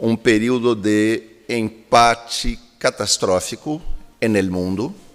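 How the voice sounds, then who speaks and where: Music sits in the background. The speech is very slow, with ordinary pitch variation. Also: man, medium pitch for a man. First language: Spanish or Portuguese. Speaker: keynote speaker, academic. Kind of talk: lecture.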